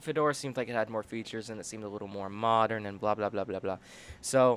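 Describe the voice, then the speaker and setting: The speaker talks at a very fast pace, with big swings in loudness. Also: man, fairly low pitch for a man, fairly even intonation. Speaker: livestreamer. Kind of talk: casual livestream chat. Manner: halting, many repetitions.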